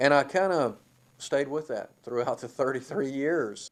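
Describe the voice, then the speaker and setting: Speaking at a fairly slow pace, a man with an unremarkable speaking voice uses a fairly high pitch and ordinary pitch variation. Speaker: retiring college baseball head coach. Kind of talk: interview answer.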